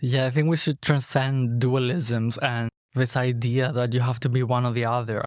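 In a very clean recording with a silent background, a man with a Greek accent speaks at a medium pitch in a monotone, flat intonation with very even loudness. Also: moderate pace. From Greece. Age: 20s. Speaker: artist and mask maker. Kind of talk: interview conversation. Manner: articulate, eloquent, philosophical.

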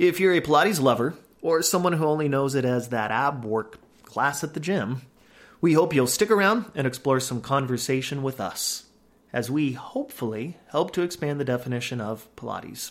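A man with an unremarkable speaking voice talks at a moderate pace and a fairly high pitch with lively intonation. The recording is very clean, with a silent background. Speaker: podcast host. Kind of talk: scripted intro.

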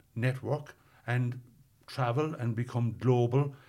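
Somewhat breathy and medium in pitch, a man with a Cork accent speaks in a monotone, flat intonation on a very clean recording with a silent background. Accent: Cork Irish. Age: 60s. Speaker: tech company executive. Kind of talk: interview.

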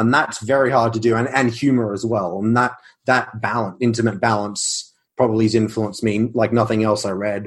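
An Australian-accented man talks at a fairly quick pace in a medium pitch with monotone, flat intonation. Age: 20s. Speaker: science fiction author. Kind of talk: casual interview.

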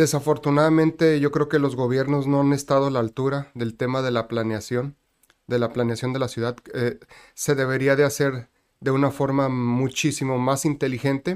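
Speaking at a moderate pace, a man has a normal speaking voice with a fairly high pitch and fairly even intonation. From Mexico, Tijuana (Baja California border). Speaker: economist and university professor. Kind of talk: interview.

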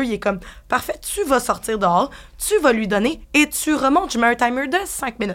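A woman with a high voice talks at a moderate pace, her intonation lively. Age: 20s. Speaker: bartender. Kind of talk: casual interview chat.

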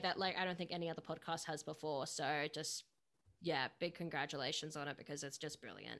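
A very clean recording over a silent background, with an Australian accent. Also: woman. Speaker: podcast host. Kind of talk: interview.

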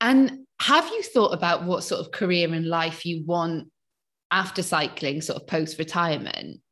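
A woman with a South Wales accent speaks at a moderate pace with fairly low pitch and ordinary pitch variation against a quiet background. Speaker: podcast host. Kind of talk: interview.

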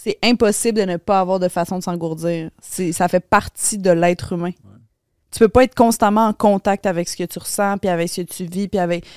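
A woman's unremarkable speaking voice, medium in pitch, fairly quick and fairly even in intonation, in a very clean recording with a silent background and a dry, close sound with no echo. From Quebec, Laval. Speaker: podcaster. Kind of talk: casual chat.

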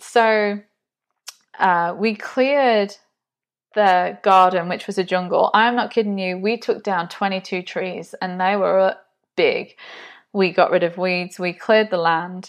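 A woman with an English accent, medium pitch, fairly even intonation, fairly slow pace and long, frequent pauses, over a quiet background. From England, Nottinghamshire. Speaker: podcast host, business community founder. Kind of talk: personal testimony. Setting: home video recording.

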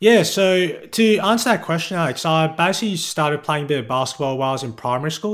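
A man with an Australian accent talks at a very fast pace. His voice is fairly high, with lively intonation. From Perth, Western Australia. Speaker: sports writer. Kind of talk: interview.

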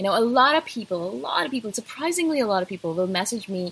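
At a fast pace, a woman speaks in a fairly bright tone with a slightly husky edge, vocal fry and lively intonation. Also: fairly high pitch for a woman.

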